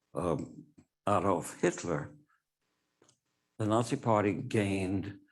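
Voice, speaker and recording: The pace here is very slow. A man talks with a fairly low pitch. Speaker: Holocaust survivor speaker. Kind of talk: testimony. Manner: halting.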